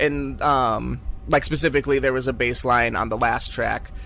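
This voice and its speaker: Speaking at a moderate pace with an American accent, a man is heard over noticeable background noise. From Illinois. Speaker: death metal musician. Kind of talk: interview.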